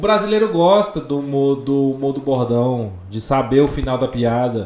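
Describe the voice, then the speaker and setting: A man's ordinary speaking voice, moderate in pace, with lively intonation. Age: 20s. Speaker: comedian and architect. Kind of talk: casual chat.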